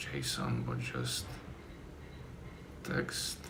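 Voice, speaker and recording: A man with a non-native accent speaks in a very deep, low voice. Room echo is audible, and there is noticeable background noise. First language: not English. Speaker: software developer streamer. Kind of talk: live coding stream, thinking aloud. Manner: halting, self-correcting.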